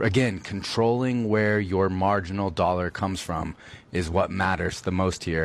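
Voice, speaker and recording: This man's voice is very deep and low. His pitch varies in an ordinary way. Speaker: radio co-host, financial advisor. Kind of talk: casual banter and financial talk. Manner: joking, quippy.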